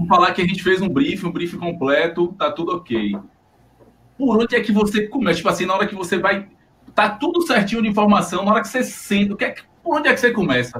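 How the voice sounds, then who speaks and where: Noticeable background noise hums along. A man races through his words very fast. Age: 30s. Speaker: designer and podcast co-host. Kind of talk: casual chat.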